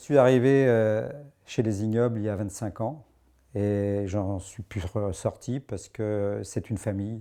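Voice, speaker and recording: A man's fairly low, dark, mellow voice at a fairly slow pace, with ordinary pitch variation, on a very clean recording with a silent background. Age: 60s. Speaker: amateur rugby player, former club president. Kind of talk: interview. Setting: locker room. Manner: hesitant, with fillers.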